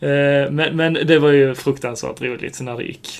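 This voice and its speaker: A man talks in a normal speaking voice with a fairly high pitch. He goes at a fairly slow pace with ordinary pitch variation. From southern Sweden, Skåne (Sjöbo). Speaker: podcast co-host. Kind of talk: casual chat.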